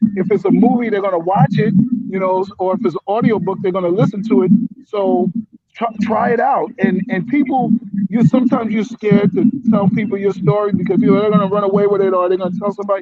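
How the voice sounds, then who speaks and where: With an American accent, a man talks at a very fast pace in a high voice with fairly even intonation. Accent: New York, as heard in Florida. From New Jersey, near New York. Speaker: writer and comedian. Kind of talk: casual video call interview.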